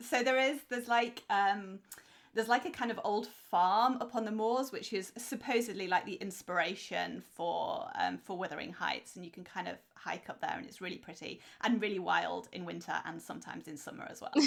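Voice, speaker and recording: A woman with a British accent and a fairly high voice, at a moderate pace, with big swings in loudness. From England. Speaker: podcast co-host, author. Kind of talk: casual chat.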